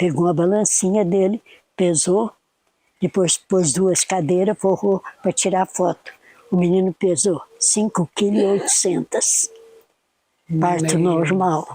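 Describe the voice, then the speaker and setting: Ordinary pitch variation marks this woman's very slow speech. The sound is dry and close with no echo. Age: 80s+. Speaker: poet. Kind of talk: interview answer.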